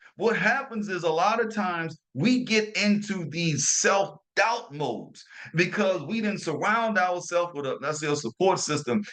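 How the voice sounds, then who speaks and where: A man with a New Orleans accent and a high pitch, animated in tone, with lively intonation and hardly any pauses. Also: moderate pace. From New Orleans, Louisiana. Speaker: motivational podcast host. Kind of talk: motivational talk. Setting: hotel room while traveling.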